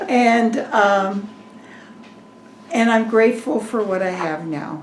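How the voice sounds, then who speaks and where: Delivered at a very slow pace with lively intonation, the speech has audible room echo and noticeable background noise. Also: woman, fairly high pitch for a woman. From Colorado, US. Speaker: retired farmer's wife. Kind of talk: oral history interview.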